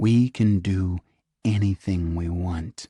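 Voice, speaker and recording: A man puts on a character voice with a very deep, low pitch. He speaks fairly slowly with fairly even intonation. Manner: very slow, word by word.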